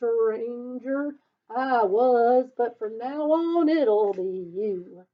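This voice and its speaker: A woman's put-on character voice, high and shaky, at a very slow pace with ordinary pitch variation. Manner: shaky, scared.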